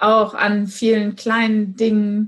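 A woman speaks with a fairly high pitch. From Germany, Gütersloh (Westphalia). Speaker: office clerk and cupcake baker. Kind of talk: casual interview. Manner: loud.

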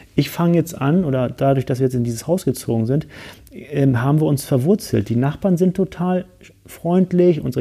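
A dark, mellow tone carries speech at a fairly quick pace. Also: man. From Hamburg, northern Germany. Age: 40s. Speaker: business coach and mountaineer. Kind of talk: casual interview. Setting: studio in Frankfurt.

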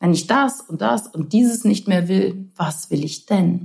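A woman's dark, mellow, somewhat breathy voice at a very slow pace. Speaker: podcast host. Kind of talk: personal monologue. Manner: warm, gently animated with laughs.

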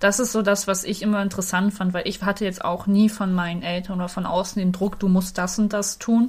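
At a moderate pace, a woman of medium pitch speaks in a somewhat breathy, monotone voice with flat intonation. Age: 20s. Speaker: podcast co-host, cosplayer. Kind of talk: casual chat.

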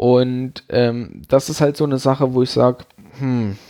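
Here a man speaks at medium pitch with a dark, mellow tone. His pace is fairly slow, and the recording is very clean with a silent background. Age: 30s. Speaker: podcast host. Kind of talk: solo monologue. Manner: halting.

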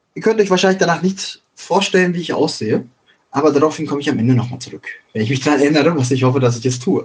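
The voice is somewhat breathy, with lively intonation and a very fast pace. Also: man, fairly high pitch for a man. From Ruhr area, Germany (Schwerte, Dortmund, Bochum). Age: 20s. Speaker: podcaster. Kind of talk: casual monologue.

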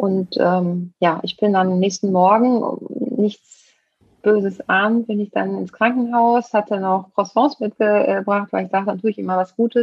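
Keeping a medium pitch and fairly even intonation, a woman speaks at a fairly slow pace. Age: 40s. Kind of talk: testimony. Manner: halting.

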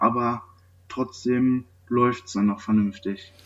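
The man's voice sits at a medium pitch, and his intonation stays fairly even. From western Germany, Sauerland area (North Rhine-Westphalia). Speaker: nursing trainee. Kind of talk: interview. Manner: hesitant, many filler sounds.

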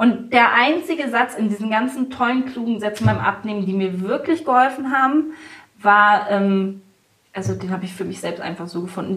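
A woman's ordinary speaking voice at a medium pitch and moderate pace, with ordinary pitch variation. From Hanover, northern Germany. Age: 30s. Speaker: kindergarten founder and triathlete mother. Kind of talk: interview.

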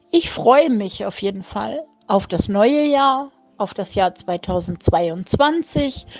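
A woman with lively intonation. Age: 50s. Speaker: grandmother and dog owner. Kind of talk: recorded voice message.

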